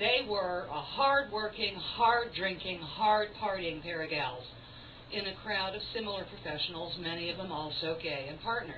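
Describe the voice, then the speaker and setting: A woman's lively intonation at a moderate pace, against noticeable background noise. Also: medium pitch for a woman. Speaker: stage performer. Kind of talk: theatrical monologue. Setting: live performance in a cafe.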